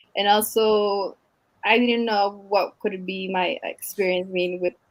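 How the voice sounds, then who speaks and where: With a Mexican accent, a woman talks at medium pitch in a monotone, flat intonation. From Mexico, Michoacan. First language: Spanish. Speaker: teacher. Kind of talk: interview. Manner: halting.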